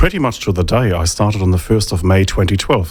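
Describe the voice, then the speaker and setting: A man with a German accent, fairly low in pitch and somewhat breathy, with fairly even intonation at a very fast pace. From Germany. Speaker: think tank economist. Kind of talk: interview.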